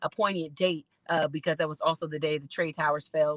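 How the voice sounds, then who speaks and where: Someone speaks at a very fast pace, and the sound is dry and close with no echo. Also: woman. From Indiana, Indianapolis. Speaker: singer-songwriter and poet, creative coach. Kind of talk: personal testimony at online conference.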